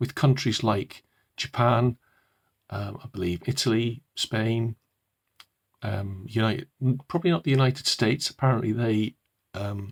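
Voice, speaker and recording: A man with medium pitch and ordinary pitch variation speaks at a moderate pace, somewhat breathy, with long, frequent pauses. The recording is very clean with a silent background and a dry, close sound with no echo. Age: old. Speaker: purpose coach and author. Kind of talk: casual talk to camera. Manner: hesitant, many fillers.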